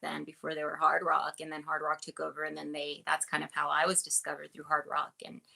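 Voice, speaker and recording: A woman speaks with a very deep, low pitch. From New Mexico, Albuquerque. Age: 40s. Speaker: model. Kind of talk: podcast interview. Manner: halting, many repetitions.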